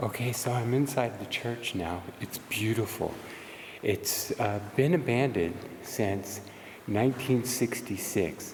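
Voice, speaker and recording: A man's medium-pitched voice at a fairly slow pace, with ordinary pitch variation, audible room echo and noticeable background noise. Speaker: paranormal investigator vlogger. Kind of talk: vlog narration. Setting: outdoors then inside abandoned church.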